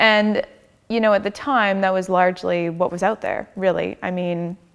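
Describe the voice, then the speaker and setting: In an ordinary speaking voice, a woman with a Canadian accent talks at a moderate pace, her pitch medium and her intonation fairly even. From Canada. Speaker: designer and tech startup co-founder. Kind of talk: onstage interview. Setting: church stage with audience.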